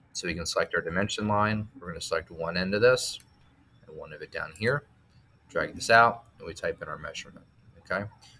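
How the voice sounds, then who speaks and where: Noticeable background noise is present. A man speaks fairly quickly. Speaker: teacher. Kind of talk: tutorial. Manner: fast.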